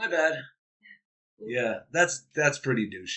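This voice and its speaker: A man with an American accent. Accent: slips into an East Coast accent at times. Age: 40s. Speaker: podcast host, former middle school teacher. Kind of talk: casual chat.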